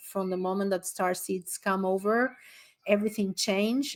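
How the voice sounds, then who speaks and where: A very clean recording with a silent background carries the speech. The speaker uses a non-native accent. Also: woman. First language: not English. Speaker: astrologer and animal communicator. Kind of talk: summit talk with Q&A. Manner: halting, with many fillers.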